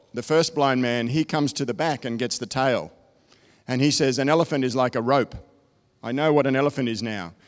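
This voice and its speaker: On a very clean recording with a silent background, a man speaks with an Australian accent. His pitch is medium, with ordinary variation. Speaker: technology consultant. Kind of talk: keynote presentation. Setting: stage with audience.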